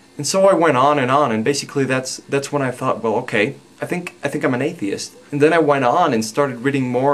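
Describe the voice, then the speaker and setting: With a Spanish accent, a man talks at medium pitch, his pitch varying in an ordinary way. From Mexico. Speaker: video blogger. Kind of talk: personal vlog monologue. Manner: halting, many fillers.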